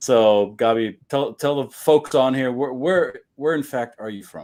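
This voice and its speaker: Speaking at a fairly slow pace with a German accent, a man uses ordinary pitch variation while his loudness swings widely. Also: medium pitch for a man. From Germany, Bavaria. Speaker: podcast host. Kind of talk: casual interview.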